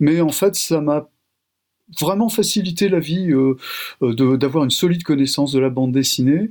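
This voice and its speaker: Speaking at a moderate pace with long, frequent pauses, a man with a fairly high pitch keeps very even loudness and ordinary pitch variation. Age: 60s. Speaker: sociologist. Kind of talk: radio interview. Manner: hesitant, many fillers.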